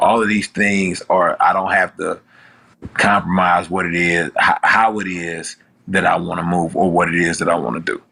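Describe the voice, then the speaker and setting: This man has a Houston accent and a very deep, low pitch. He speaks at a moderate pace with fairly even intonation. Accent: Southern US, Houston. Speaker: rapper. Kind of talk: interview answer.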